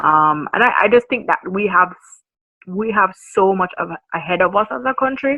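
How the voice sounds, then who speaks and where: A woman with a Jamaican accent speaks at a moderate pace, her pitch in the middle range. Her intonation is lively. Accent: Jamaican, maintained despite years abroad. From Jamaica, Kingston. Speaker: marketing consultant. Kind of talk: podcast interview.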